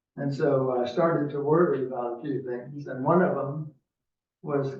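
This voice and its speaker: Fairly high-pitched male speech with fairly even intonation and audible room echo. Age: 80s+. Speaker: resident giving public comment. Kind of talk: public comment at council meeting. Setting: city council meeting in city hall. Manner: halting.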